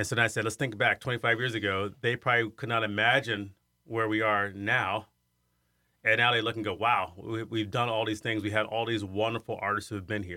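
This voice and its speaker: Fairly low male voice in a US Midwestern accent, monotone and flat, at a fairly quick pace. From Iowa, US Midwest. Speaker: arts center director, former opera singer. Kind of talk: interview.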